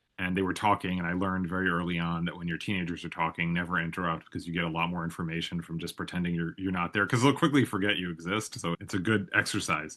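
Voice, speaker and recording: A man with an American accent speaks in a very deep, low pitch and a bright, sharp tone, at a very fast pace with hardly any pauses. His intonation stays fairly even against a quiet background. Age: 40s. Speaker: podcast host. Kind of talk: interview conversation.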